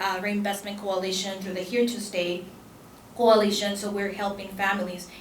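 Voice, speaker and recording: In a Spanish accent, a woman of medium pitch speaks at a moderate pace with monotone, flat intonation, amid noticeable background noise and audible room echo. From El Salvador. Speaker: immigrant rights advocate and attorney. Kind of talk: conference panel talk. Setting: conference panel with audience. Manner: halting with frequent fillers.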